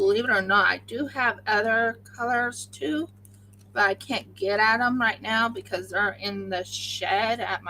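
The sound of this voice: A woman with an Oklahoma accent speaks at a very slow pace.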